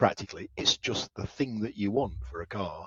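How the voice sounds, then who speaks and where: At a moderate pace, a man with a fairly low pitch talks in a British accent. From England. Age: old. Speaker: automotive engineer. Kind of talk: interview.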